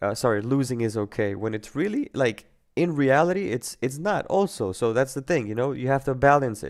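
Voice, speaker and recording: This man speaks with a non-native accent. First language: not English. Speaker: trading educator. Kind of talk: live webinar talk. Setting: live online webinar. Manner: halting.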